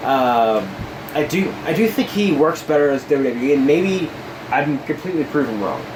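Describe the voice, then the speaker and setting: Mumbling at a moderate pace, a man with fairly high pitch and lively intonation is heard amid audible room echo and noticeable background noise. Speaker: wrestling podcast co-host. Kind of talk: casual chat.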